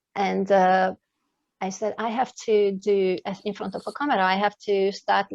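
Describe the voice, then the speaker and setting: A woman speaks in a non-native accent at a medium pitch. The sound is dry and close with no echo, over a quiet background. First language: not English. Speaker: life coach and speaker. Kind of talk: interview. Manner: halting.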